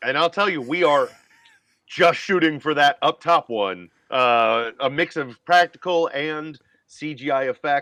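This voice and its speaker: Bright and sharp in tone, a voice with an American accent moves at a fairly slow pace with ordinary pitch variation, the sound dry and close with no echo. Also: man, fairly high pitch for a man. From Northern Virginia. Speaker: comedian and actor. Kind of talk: casual chat. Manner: halting.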